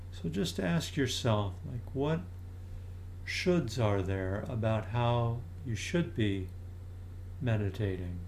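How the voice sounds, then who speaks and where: Using a gentle, soothing tone, a man talks at a very slow pace with long, frequent pauses, his fairly low, somewhat breathy voice showing ordinary pitch variation. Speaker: meditation teacher. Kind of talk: guided meditation. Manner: slow, soft-spoken, calm and unhurried with long pauses; gentle, inviting, soothing tone.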